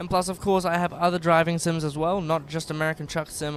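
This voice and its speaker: An Australian accent is heard here. The speaker is a man. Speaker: gaming streamer. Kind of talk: casual live-stream chat. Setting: live stream.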